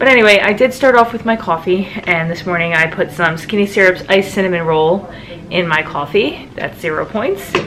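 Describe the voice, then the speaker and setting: Over noticeable background noise, a woman speaks at a medium pitch. Her pace is fairly quick, with ordinary pitch variation. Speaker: vlogger. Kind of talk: casual vlog. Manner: soft-spoken.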